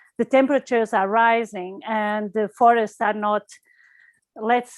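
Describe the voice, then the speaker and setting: The sound is dry and close, with no echo. Speech moves at a fairly slow pace. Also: woman. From Portugal. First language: Portuguese. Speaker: environmental campaigner. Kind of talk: online talk. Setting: video call. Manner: halting.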